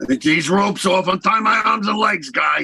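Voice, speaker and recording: In a put-on character voice, a man speaks raspy, raised and projected, at a high pitch and moderate pace, with lively intonation and very even loudness. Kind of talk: 1930s radio acting. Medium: old radio play. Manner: slangy, gruff wisecracking.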